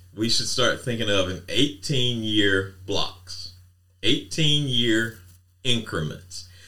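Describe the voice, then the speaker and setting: This man has a bright, sharp tone at a medium pitch, with lively intonation. He speaks at a very slow pace. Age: 50s. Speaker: podcast co-host. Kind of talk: casual chat.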